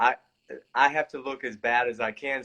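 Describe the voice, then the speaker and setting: A man speaks with an American accent. His voice is medium in pitch with a bright, sharp tone. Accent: Southern, grows stronger as he talks. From US South, Georgia. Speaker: actor. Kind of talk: casual interview chat. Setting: live-streamed online interview.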